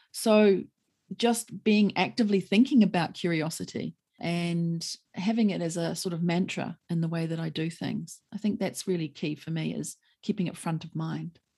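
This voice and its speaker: A fairly low-pitched, somewhat breathy woman's voice with a dark, mellow tone, a New Zealand accent, ordinary pitch variation and a moderate pace. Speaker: lawyer. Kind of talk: interview conversation.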